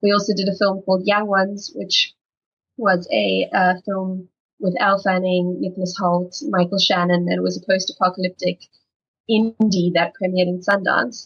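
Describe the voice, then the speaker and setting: A somewhat breathy woman's voice at medium pitch, in a South African accent, monotone and flat at a moderate pace. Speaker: film development executive. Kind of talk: panel discussion.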